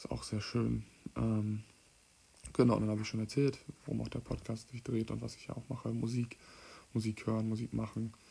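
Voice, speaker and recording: Moderate pace broken by long, frequent pauses. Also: man. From Mecklenburg-Western Pomerania, Stralsund. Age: 20s. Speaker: podcast host, amateur musician. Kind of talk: casual solo monologue. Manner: hesitant, many filler sounds.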